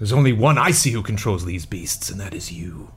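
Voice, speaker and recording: A man does a put-on character voice at a fairly quick pace, with light background noise. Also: fairly low pitch for a man. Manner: sardonic, suspicious.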